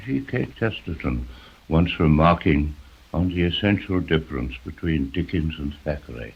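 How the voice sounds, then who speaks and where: At a moderate pace, a man speaks with vocal fry. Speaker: novelist and journalist. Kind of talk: radio talk. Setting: 1930s BBC broadcast recording.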